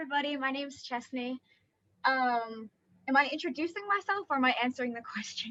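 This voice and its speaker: A woman's high, raised and projected voice with an American accent, bright and sharp in tone, very fast with lively intonation. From USA, then South Africa from childhood. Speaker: dance student. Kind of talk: panel discussion.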